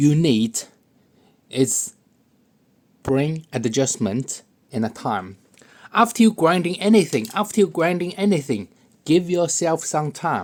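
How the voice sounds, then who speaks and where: A very slow pace with long, frequent pauses, in a non-native accent. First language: not English. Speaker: pen hobbyist video maker. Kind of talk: tutorial. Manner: halting, repeats words; casual, joking.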